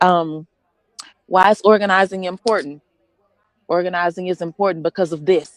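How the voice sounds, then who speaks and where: With long, frequent pauses, a woman speaks in a passionate tone at a medium pitch with fairly even intonation. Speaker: registered nurse, pastor and activist. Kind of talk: rally speech. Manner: fast; passionate, emphatic.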